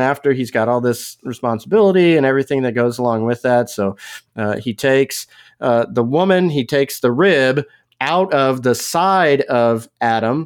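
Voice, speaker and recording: Delivered at a moderate pace with ordinary pitch variation, the voice has a Texas accent. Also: man. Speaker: pastor.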